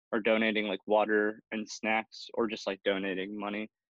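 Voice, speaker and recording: In an American accent, a man talks at a moderate pace and medium pitch. He has a plain, everyday voice. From Milwaukee, Wisconsin. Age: 20s. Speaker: filmmaker and photographer. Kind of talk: interview. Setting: remote recording from home.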